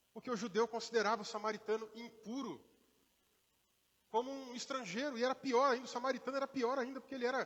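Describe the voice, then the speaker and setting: A man speaks with an extremely high pitch and fairly even intonation. He talks at a very fast pace, yet with long, frequent pauses. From Minas Gerais interior, Brazil. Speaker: pastor. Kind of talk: sermon. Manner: conversational.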